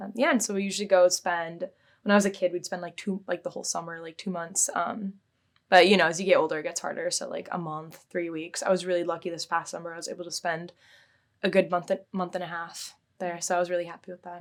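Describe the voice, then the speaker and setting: A woman with a West Coast accent speaks very fast at a fairly low pitch, her intonation monotone and flat but her loudness swinging widely. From Seattle area, Washington, US. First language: Bulgarian. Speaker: physics PhD student. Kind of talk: interview. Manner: hesitant, many fillers.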